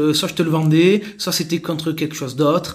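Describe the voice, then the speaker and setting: This man has a fairly high pitch and talks at a fairly quick pace. It is an ordinary speaking voice. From southern France, Marseille. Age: 30s. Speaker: sales executive. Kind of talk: interview.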